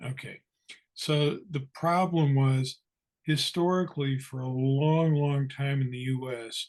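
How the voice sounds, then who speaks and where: Somewhat breathy, a man's medium-pitched voice holds a fairly even intonation. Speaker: lawyer. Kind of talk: casual storytelling.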